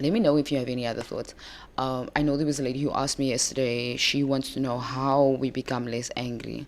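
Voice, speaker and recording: A woman speaks in a calm tone with a very deep, low pitch. Her intonation stays monotone and flat. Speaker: relationship coach. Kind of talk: live stream talk. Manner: hesitant with fillers.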